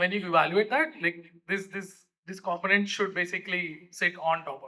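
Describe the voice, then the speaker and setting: This man's voice sits high. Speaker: conference speaker on voice AI. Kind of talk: conference talk.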